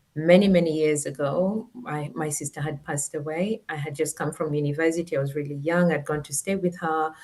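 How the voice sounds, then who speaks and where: A woman's very deep, low voice with a Kenyan accent, fairly even intonation and a fairly quick pace. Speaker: former teacher and education tech founder. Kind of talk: interview. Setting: live stream.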